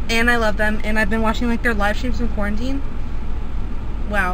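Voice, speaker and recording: A woman talks at a moderate pace against noticeable background noise. The sound is dry, with no echo. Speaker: vlogger. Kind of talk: casual vlog talk to camera. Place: car. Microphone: phone near.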